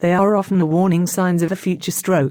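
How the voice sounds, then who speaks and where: A woman's fairly low-pitched voice with a dark, mellow tone and a British accent, on a very clean recording against a silent background. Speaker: stroke charity representative. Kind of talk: scripted educational interview answer.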